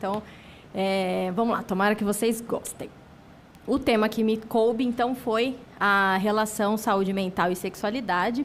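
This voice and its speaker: There is audible room echo around a woman's voice. Her pitch is fairly high and her intonation fairly even. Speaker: psychiatrist and lecturer. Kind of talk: lecture.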